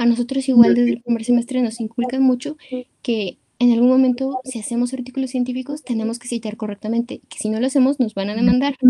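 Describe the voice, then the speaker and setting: The voice has a dark, mellow tone and flat, monotone intonation, with big swings in loudness at a very fast pace. The sound is dry and close with no echo. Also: woman, high pitch for a woman. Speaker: podcast host. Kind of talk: casual chat.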